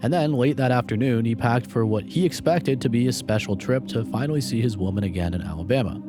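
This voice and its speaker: The speech is very fast, with hardly any pauses and very wide pitch swings. Noticeable background noise sits behind it. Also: man. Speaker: true crime narrator. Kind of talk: documentary narration.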